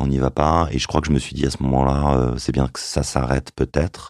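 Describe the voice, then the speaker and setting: Vocal fry runs through a fairly quick delivery with monotone, flat intonation. The sound is dry and close, with no echo. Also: man. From France, Yvelines. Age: 40s. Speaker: journalist. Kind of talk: testimony.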